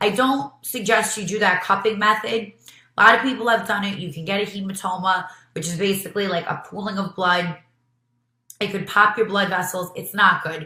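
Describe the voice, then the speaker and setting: A fairly quick pace with big swings in loudness and fairly even intonation, in a New York accent. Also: woman, medium pitch for a woman. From New York City, Brooklyn. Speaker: beauty vlogger and nurse. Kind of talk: tutorial. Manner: casual, with many fillers.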